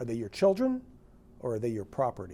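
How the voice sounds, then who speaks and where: An American accent marks this man's somewhat breathy, dark, mellow voice at medium pitch and a moderate pace, in a very clean recording with a silent background. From northern New Jersey. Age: 60s. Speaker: physician and author. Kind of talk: interview testimony.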